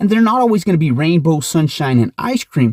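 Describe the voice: A man talks at a fairly quick pace and a fairly high pitch, with big pitch swings. The sound is dry and close with no echo, and his tone is slightly mellow.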